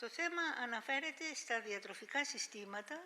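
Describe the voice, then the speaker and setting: A woman with a high pitch talks at a fairly quick pace with lively intonation over noticeable background noise. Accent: Greek. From Greece. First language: Greek. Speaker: health foundation president, professor. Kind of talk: panel talk.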